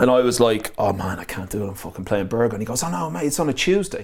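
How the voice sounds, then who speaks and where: In an Irish accent, a man speaks at a very fast pace with lively intonation and a medium pitch. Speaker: DJ and producer. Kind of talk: casual interview chat.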